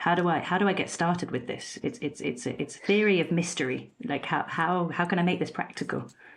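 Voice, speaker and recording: A woman talks at a fairly quick pace, her fairly low pitch showing ordinary variation. It is an ordinary speaking voice. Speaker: podcast host. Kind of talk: interview question.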